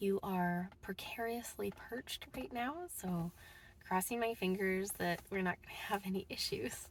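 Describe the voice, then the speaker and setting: Fairly slow, somewhat breathy speech from a woman, with ordinary pitch variation. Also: medium pitch for a woman. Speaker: book vlogger. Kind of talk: casual vlog talk.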